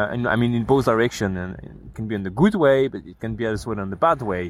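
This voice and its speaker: A man with a French accent, medium pitch and ordinary pitch variation at a fairly quick pace. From France. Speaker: bicycle traveler. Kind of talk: casual chat.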